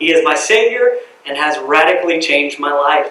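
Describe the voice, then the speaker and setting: A man speaks in a Southern US accent at a moderate pace with ordinary pitch variation. There is noticeable background noise. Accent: Southern US (Georgia). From US South, Cumming, Georgia. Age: 30s. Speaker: city council candidate. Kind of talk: campaign speech.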